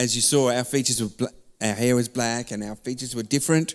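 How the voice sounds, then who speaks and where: A man with an Australian accent. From Melbourne, Australia (born London, Turkish Cypriot parents). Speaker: church member sharing faith story. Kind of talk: testimony interview.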